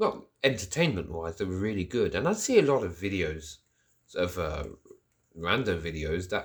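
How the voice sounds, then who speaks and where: A somewhat breathy man at a moderate pace, with very wide pitch swings. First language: French. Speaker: podcast host. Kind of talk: solo monologue podcast. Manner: rambling, hesitant with fillers.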